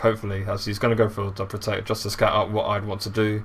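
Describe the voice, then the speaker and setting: A somewhat breathy man speaks at a very fast pace, his intonation monotone and flat. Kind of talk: video game commentary.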